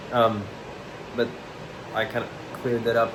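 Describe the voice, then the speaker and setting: A man speaks at a medium pitch, with audible room echo and noticeable background noise. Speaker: vlogger documenting self-improvement. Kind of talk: casual vlog monologue. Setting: own room, on camera. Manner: hesitant, filler-heavy; quiet, mumbly.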